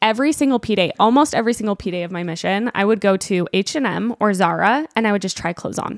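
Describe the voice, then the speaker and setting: A woman with a Utah accent talks at a very fast pace with hardly any pauses, medium pitch and ordinary pitch variation. The sound is dry and close with no echo. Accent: American, Utah. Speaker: fashion influencer. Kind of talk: casual chat.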